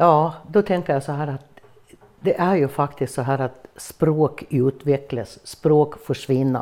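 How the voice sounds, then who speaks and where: Very slowly, a woman speaks at a very deep, low pitch with a dark, mellow tone. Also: ordinary pitch variation. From Gotland, Sweden. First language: Gutnish (gutamål) (speaking Swedish). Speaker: dialect performer. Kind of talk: interview.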